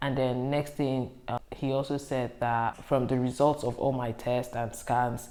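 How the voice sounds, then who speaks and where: A dark, mellow tone carries monotone, flat intonation at a moderate pace. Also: woman. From Nigeria. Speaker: YouTuber. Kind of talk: casual talk to camera.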